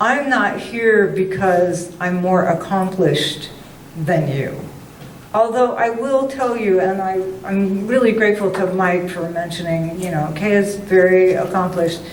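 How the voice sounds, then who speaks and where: Speaking at a very slow pace, a woman uses a medium pitch and ordinary pitch variation, with audible room echo and noticeable background noise. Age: 70s. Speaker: writer and former teacher. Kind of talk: talk to a writers club meeting. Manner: animated.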